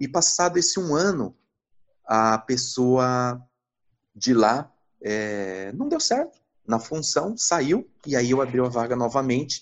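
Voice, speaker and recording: Speaking at a medium pitch with ordinary pitch variation, a man moves at a very slow pace with long, frequent pauses. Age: 40s. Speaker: finance executive turned investment advisor. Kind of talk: interview. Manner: hesitant, many fillers.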